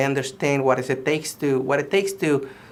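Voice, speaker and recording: With a slight Mexican accent, a man talks at a fairly quick pace. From Mexico. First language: Spanish. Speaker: political candidate. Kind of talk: campaign statement. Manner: halting, many fillers and restarts.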